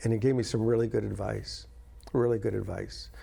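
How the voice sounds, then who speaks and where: This very clean recording of a man has a silent background. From New England (New London, Connecticut). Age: 70s. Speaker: pastor. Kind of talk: testimony. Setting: studio. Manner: animated.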